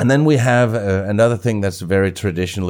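In a very clean recording with a silent background, a man with a Danish accent speaks with ordinary pitch variation. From Denmark. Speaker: travel podcast host. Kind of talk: casual interview. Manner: halting.

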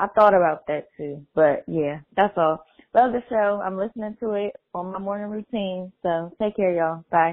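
This is an unremarkable speaking voice with an American accent and ordinary pitch variation. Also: woman, medium pitch for a woman, moderate pace. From Maryland. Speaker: voicemail caller. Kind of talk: voicemail message.

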